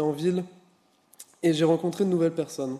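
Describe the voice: This man's voice has a dark, mellow tone, a fairly high pitch and fairly even intonation.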